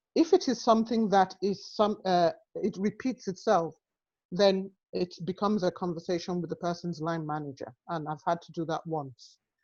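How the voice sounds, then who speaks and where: This woman speaks with an African accent. Her pace is moderate. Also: medium pitch for a woman, ordinary pitch variation. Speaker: health and social care professional. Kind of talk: webinar panel discussion.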